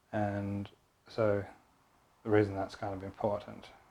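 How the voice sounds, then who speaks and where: A soft-spoken man mumbles at a fairly slow pace in a fairly low pitch. His tone is dark and mellow, and his intonation is monotone and flat. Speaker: Bowen therapist. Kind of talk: tutorial. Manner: mumbling.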